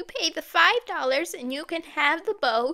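Using a squeaky put-on character voice, a woman talks at an extremely high pitch with lively intonation and a fairly slow pace.

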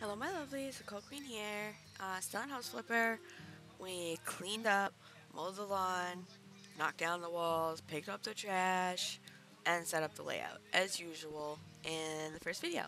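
Faint music sits in the background as a woman speaks at a moderate pace, the sound dry with no echo. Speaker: gaming streamer. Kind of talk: casual gameplay commentary. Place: home room. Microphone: headset.

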